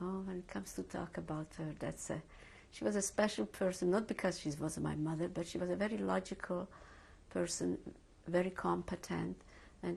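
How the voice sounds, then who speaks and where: A woman with a Hungarian accent, at a fairly quick pace. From Hungary. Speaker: Holocaust survivor. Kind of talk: oral history interview. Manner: hesitant, with many fillers.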